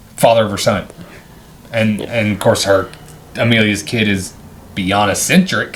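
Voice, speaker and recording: Over noticeable background noise, a man with a fairly low pitch talks at a moderate pace in fairly even intonation, leaving long, frequent pauses. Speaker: movie review podcast co-host. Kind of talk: casual chat, movie review.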